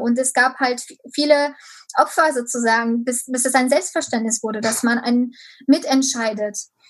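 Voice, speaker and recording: In a Romanian accent, a woman speaks at a high pitch. Her intonation stays fairly even against a quiet background. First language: Romanian (speaking German). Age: 20s. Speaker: local politician. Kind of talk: interview. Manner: hesitant, many filler sounds.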